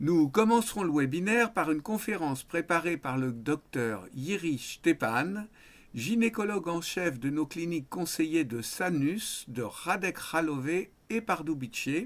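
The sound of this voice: The intonation sounds lively. The speech moves at a fairly slow pace. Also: man.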